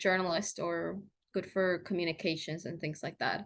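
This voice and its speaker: The speaker here is a woman. Her words carry a Spanish accent. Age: 20s. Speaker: journalist. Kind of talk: interview conversation. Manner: halting, many fillers.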